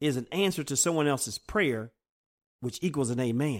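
A normal speaking voice from a man, fairly high in pitch, with lively intonation. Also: very clean recording, silent background. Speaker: preacher. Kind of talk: sermon; fervent prayer. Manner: earnest, reverent prayer tone; formal.

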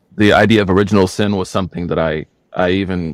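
Recorded very cleanly with a silent background and a dry, close sound with no echo, a man with an Oklahoma accent speaks at a very deep, low pitch with ordinary pitch variation. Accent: Oklahoma American. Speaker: Islamic scholar. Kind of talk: interview.

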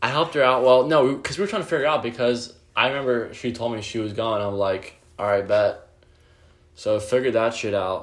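Speaking at a very fast pace, a man with a medium pitch uses ordinary pitch variation and an animated tone. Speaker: podcast co-host. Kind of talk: casual chat. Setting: bedroom. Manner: animated, profane banter.

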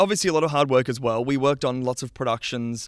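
Recorded very cleanly against a silent background, a man speaks at a fairly quick pace with an Australian accent. His pitch is medium with ordinary variation. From Western Australia. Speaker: sound technician. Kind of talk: interview. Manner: halting.

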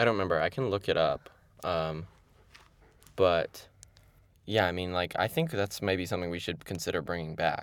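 A man speaks at a very deep, low pitch with ordinary pitch variation. He leaves long, frequent pauses. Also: moderate pace. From Evanston. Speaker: podcast co-host. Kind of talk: casual chat.

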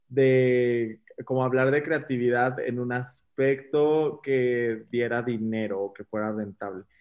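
A man talks very slowly at a medium pitch, his intonation monotone and flat. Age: 20s. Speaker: makeup artist. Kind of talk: casual chat.

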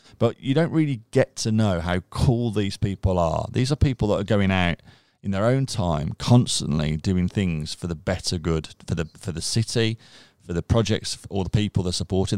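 A man with a Birmingham accent talks at a moderate pace in a fairly low voice, with ordinary pitch variation and an animated, enthusiastic tone. The recording is very clean and dry, close with no echo, over a silent background. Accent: Birmingham (Brummie). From Birmingham, England (Castle Bromwich / Chelmsley Wood). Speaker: digital marketing agency director and charity co-founder. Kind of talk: casual interview chat.

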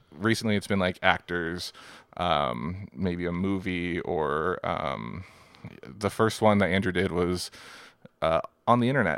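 Very deep, low male voice with vocal fry, ordinary pitch variation and a fairly slow pace, in a very clean recording with a silent background. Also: long, frequent pauses. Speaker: podcast co-host. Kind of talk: casual interview chat.

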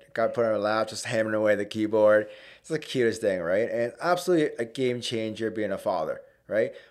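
On a very clean recording with a silent background, a man speaks with a Canadian accent. He has an unremarkable speaking voice with ordinary pitch variation. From Hamilton, Ontario, Canada. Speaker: mortgage broker. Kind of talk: casual chat.

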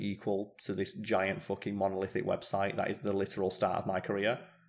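A man with a British accent speaks quietly at a moderate pace, his pitch fairly low. The recording is very clean, with a silent background. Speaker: gaming podcaster and streamer. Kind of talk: casual chat. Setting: home living room, live stream, slightly echoey. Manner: calm, quieter on podcasts.

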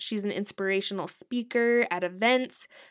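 A woman with an unremarkable speaking voice, fairly high in pitch and with ordinary pitch variation, talks at a moderate pace on a very clean recording with a silent background. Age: 30s. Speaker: podcast host. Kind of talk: casual chat.

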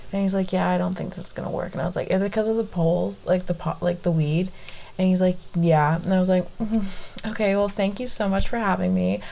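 Against noticeable background noise, the speech races along at a very fast pace with fairly even intonation. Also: woman. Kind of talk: casual chat. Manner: loud talker.

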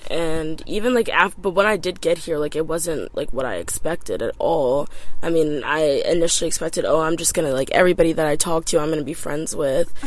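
Over noticeable background noise, a woman with an American accent talks at a very fast pace. She has a fairly low pitch and hardly pauses. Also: ordinary pitch variation. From US, out of state suburbs. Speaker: pre-med college student. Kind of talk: casual interview chat. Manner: filler-heavy, hesitant.

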